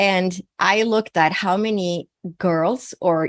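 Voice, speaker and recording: With a Swedish accent, a woman with a fairly low pitch and ordinary pitch variation speaks in a dry, close sound with no echo against a quiet background. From Sweden. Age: 60s. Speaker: naturopathic physician and psychic medium. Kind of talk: interview.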